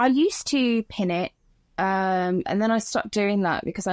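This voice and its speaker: A woman at a moderate pace with ordinary pitch variation, dry with no echo, over a quiet background. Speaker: podcast guest, content creator. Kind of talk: interview answer. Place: home room. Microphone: phone near.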